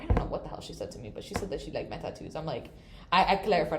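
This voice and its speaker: A woman is heard with audible room echo and noticeable background noise around her. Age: 20s. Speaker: student. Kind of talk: casual chat.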